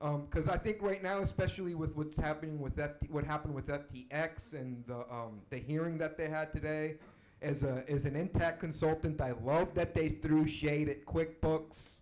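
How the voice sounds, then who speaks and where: In an American accent, a plain, everyday voice moves at a moderate pace with hardly any pauses and ordinary pitch variation. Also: man, fairly high pitch for a man. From US Deep South, Mexican family. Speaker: audience member asking a question. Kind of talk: Q&A question.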